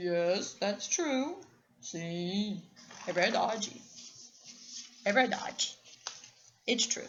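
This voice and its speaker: A woman speaks in a put-on character voice at a medium pitch, moving at a very slow pace with long, frequent pauses. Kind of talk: bedtime story. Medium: read story.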